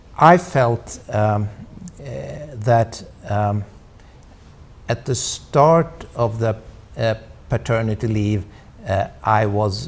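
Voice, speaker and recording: A man with a Swedish accent speaks at a medium pitch with ordinary pitch variation. He talks very slowly, with long, frequent pauses. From Sweden. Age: 60s. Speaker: diplomat. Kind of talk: interview. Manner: halting, many fillers.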